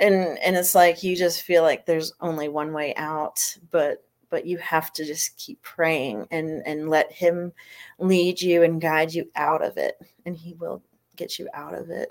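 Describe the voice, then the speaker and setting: A woman with a plain, everyday voice: fairly low pitch, fairly even intonation, big swings in loudness and a fairly slow pace. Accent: American. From Florida. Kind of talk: interview. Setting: livestream.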